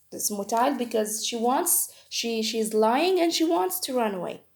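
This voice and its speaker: With a non-native accent, a woman speaks in a high pitch and a dark, mellow tone. The recording is very clean and the background silent. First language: not English. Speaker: medical educator. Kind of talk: tutorial. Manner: halting.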